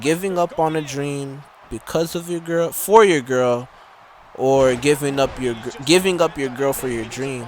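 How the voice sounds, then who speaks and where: Over noticeable background noise, a man talks at a fairly slow pace and a fairly high pitch. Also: ordinary pitch variation. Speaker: gaming YouTuber. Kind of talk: gameplay commentary. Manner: halting, stumbling over words.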